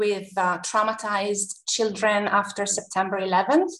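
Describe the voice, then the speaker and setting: Speaking at a fairly slow pace with an Italian accent, a woman has a bright, sharp tone and a fairly high pitch. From Italy, Tuscany. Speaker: university counselor. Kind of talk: interview. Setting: video call.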